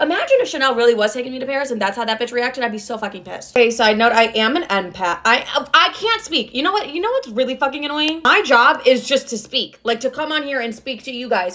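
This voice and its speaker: A raised, projected voice with lively intonation comes through over noticeable background noise. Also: woman, high pitch for a woman, hardly any pauses. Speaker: influencer. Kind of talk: storytime monologue. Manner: animated.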